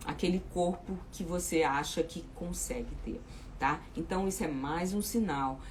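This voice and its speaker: A woman speaks at a fairly slow pace with a fairly low pitch and lively intonation. Audible room echo surrounds her voice. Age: 60s. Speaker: weight loss coach. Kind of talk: live chat with viewers. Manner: informal, repetitive fillers.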